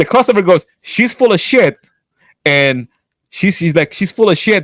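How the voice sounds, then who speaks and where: Loud and recorded with a dry, close sound with no echo, a man speaks. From French Canadian. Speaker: podcast co-host. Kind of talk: casual chat. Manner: animated.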